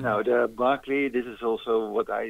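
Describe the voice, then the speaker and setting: A man's medium pitch with a Dutch accent, in a monotone, flat intonation. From Netherlands. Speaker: ultrarunner. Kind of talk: interview. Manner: halting.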